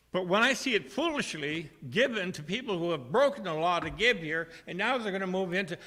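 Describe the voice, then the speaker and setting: Raised and projected, a man's high-pitched voice carries a bright, sharp tone and lively intonation at a fairly quick pace. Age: 70s. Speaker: member of the public speaking at council meeting. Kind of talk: public comment. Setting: city council meeting. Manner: halting.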